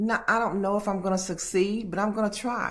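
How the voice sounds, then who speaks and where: Female speech in audible room echo, its pitch varying in an ordinary way. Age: 60s. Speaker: vlogger. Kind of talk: casual monologue vlog. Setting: at home alone.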